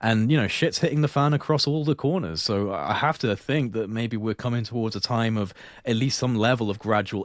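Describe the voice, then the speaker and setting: A man at a fairly quick pace with ordinary pitch variation, in a very clean recording with a silent background. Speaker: YouTube host on esoteric topics. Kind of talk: casual chat. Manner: fast; measured.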